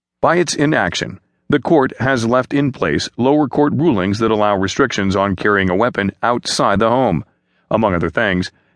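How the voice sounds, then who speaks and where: A man at medium pitch and moderate pace, lively intonation, very even loudness, quiet background. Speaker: newsreader. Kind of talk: news reading, scripted newspaper article read aloud in a steady, neutral broadcast tone. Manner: formal, even-paced and measured, with a dispassionate delivery; fluent, clear and businesslike, with few pauses.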